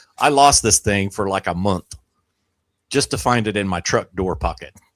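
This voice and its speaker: With vocal fry and very wide pitch swings, a man with a fairly low voice talks at a moderate pace in a dry, close recording with no echo, very clean and with a silent background. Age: 50s. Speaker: amateur radio content creator. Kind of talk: casual chat. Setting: live stream.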